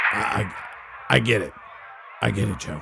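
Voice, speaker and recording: A man's raspy, put-on character voice comes through with clear background noise. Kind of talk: talk radio parody. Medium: solo performance. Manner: loud, excitable.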